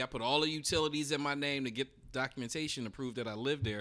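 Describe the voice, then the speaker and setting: A man talks at a very fast pace in a fairly high pitch, with fairly even intonation. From US, urban inner city. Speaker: educator and real estate investor. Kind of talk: casual interview chat.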